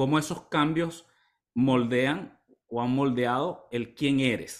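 A man with fairly high pitch uses an ordinary speaking voice with ordinary pitch variation. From Venezuela, eastern (Maturín, Monagas). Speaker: health coach. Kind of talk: casual interview chat.

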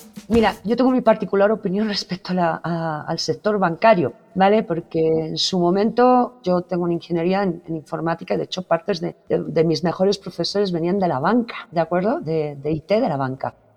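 A woman with a Spanish accent talks at a fairly low pitch with ordinary pitch variation. Her pace is fairly quick, with hardly any pauses. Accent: Spanish (Spain) accent, unchanged. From Spain. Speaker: digital transformation executive. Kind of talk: interview.

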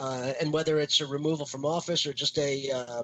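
This is a man with a normal speaking voice. His pitch is fairly high and his intonation fairly even. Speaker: podcast co-host. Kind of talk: casual chat.

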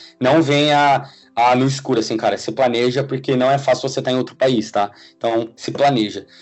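An ordinary speaking voice from a man at a medium pitch and a fairly quick pace. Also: fairly even intonation. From Brazil, São Paulo state (Suzano). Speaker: software engineer. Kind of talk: casual interview.

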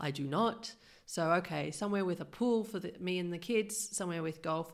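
A woman with an ordinary speaking voice, fairly low pitch and ordinary pitch variation. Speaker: podcast host. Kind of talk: casual interview.

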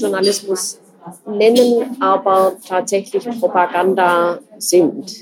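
A woman speaks over noticeable background noise. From Germany. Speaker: journalist. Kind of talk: interview.

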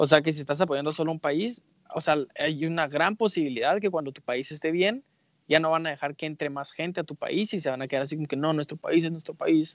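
Heard in a dry, close sound with no echo, a man with a plain, everyday voice speaks fairly quickly at a fairly high pitch with ordinary pitch variation. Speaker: podcast co-host. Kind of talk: casual chat.

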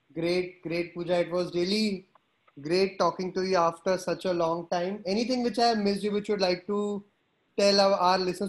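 Against a quiet background, a man talks fairly quickly in a high pitch with monotone, flat intonation. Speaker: podcast host. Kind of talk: interview.

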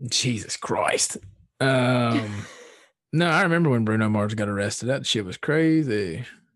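With an American accent, this normal speaking voice moves at a fairly slow pace and has lively intonation. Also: man, medium pitch for a man. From Southwest Virginia. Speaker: podcast host. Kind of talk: casual chat. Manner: casual, profane.

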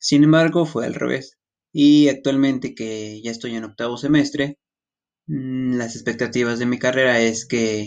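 Fairly slow, fairly even-toned speech from a man. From Mexico, Tlaxcala. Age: 20s. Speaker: university student. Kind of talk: self-introduction monologue.

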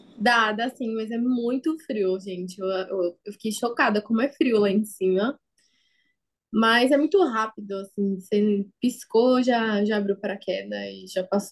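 A woman speaks in a plain, everyday voice, fairly high-pitched, at a fairly slow pace with ordinary pitch variation. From São Paulo city, Brazil. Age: 20s. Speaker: perfusionist. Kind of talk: interview.

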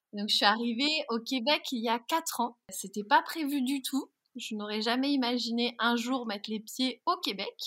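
A woman speaks in a high pitch with ordinary pitch variation. Her tone is bright and sharp. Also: moderate pace. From France. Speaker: bridal boutique owner. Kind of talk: interview conversation.

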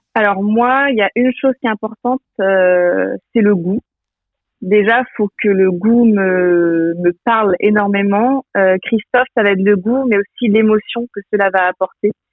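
At a fairly slow pace, a woman speaks with medium pitch. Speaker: entrepreneur, president of an online food shop. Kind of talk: radio interview. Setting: remote link from Quimper. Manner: energetic.

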